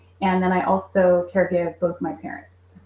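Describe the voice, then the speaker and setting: Fairly low pitch from a woman, her voice somewhat breathy. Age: 40s. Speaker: caregiver and homeschool mom. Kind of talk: interview.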